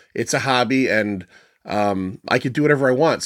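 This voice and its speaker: A plain, everyday voice comes from a man at medium pitch, talking at a fairly quick pace with ordinary pitch variation. The recording is very clean and dry, with a silent background, a close sound and no echo. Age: middle-aged. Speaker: podcaster. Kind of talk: casual chat.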